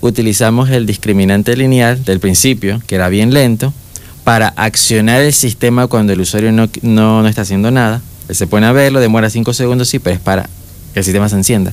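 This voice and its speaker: An unremarkable speaking voice from a man at medium pitch, fairly quick in pace, with fairly even intonation and very even loudness. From Panama, David (Chiriquí). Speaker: young engineer. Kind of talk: interview. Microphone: far from the mic.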